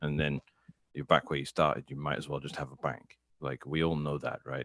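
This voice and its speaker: A man speaks at a fairly quick pace in a very deep, low voice with vocal fry. His intonation is flat and monotone, and the sound is dry and close with no echo. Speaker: Bitcoin commentator. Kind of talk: casual chat.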